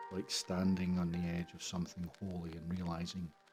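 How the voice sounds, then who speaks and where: Over music in the background, a man with a very deep, low pitch speaks at a moderate pace. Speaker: father. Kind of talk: personal reflective monologue. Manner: soft-spoken, reflective.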